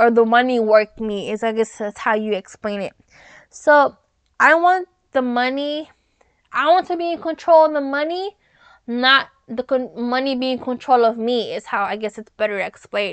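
Lively and animated, a woman with an American accent speaks at a moderate pace in a high pitch. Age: 20s. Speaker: podcast host. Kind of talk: casual solo podcast chat.

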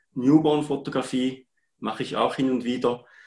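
The man's voice is somewhat breathy. His pace is moderate. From Switzerland, Appenzell. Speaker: part-time photographer. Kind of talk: live-streamed interview.

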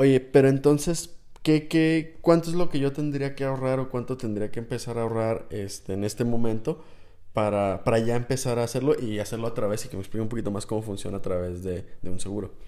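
The voice has a dark, mellow tone. It moves at a fairly quick pace with ordinary pitch variation. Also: man, medium pitch for a man. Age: 20s. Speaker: listener representative. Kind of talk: casual chat. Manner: halting, repeats words.

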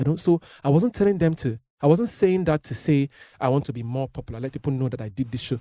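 A man talks at a very fast pace with a fairly high pitch and lively intonation. His tone is dark and mellow, and the sound is dry and close with no echo. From Nigeria. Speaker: singer-songwriter. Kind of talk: casual chat.

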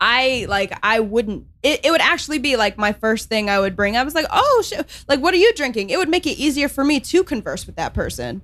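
Speaking at a fairly quick pace with an American accent, a woman uses a high pitch and very wide pitch swings. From US Midwest. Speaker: guest. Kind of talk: casual chat.

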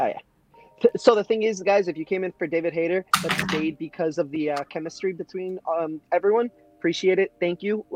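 Music plays in the background as a man talks. His pitch is high and his pace fairly quick. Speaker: podcast co-host working in video games. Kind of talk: casual chat. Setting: online call.

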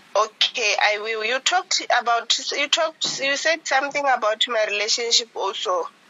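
Over noticeable background noise, a woman with a high pitch speaks at a moderate pace with lively intonation and hardly any pauses. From Botswana. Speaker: caller. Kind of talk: phone-in testimony. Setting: phone call. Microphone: breaking up phone line.

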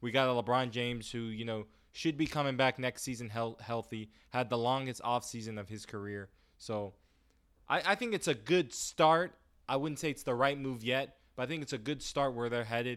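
The recording is very clean, over a silent background. A man with an unremarkable speaking voice talks at a medium pitch and a moderate pace, with ordinary pitch variation. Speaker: sports podcast co-host. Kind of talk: casual sports talk. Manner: playful, boastful.

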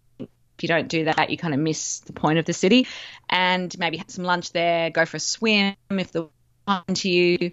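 A woman speaks with an Australian accent at a fairly low pitch. Her intonation stays fairly even while her loudness swings widely. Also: moderate pace. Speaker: travel guest. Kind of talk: casual interview.

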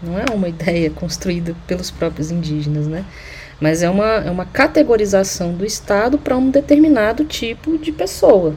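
A woman with medium pitch and very wide pitch swings talks at a moderate pace amid noticeable background noise. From Brazil, Uberlândia, Minas Gerais. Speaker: anthropologist and sociology teacher. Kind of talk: interview. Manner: halting, many fillers.

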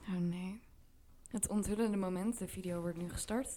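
With a dark, mellow tone and a medium pitch, a woman talks at a fairly slow pace with fairly even intonation. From Vlaardingen, Netherlands. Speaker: podcast co-host. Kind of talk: casual chat. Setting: on holiday in Tuscany.

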